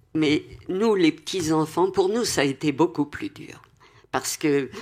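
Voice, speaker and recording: A woman with a very deep, low pitch talks at a fairly slow pace, showing ordinary pitch variation and big swings in loudness. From Paris. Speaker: Holocaust survivor. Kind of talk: testimony.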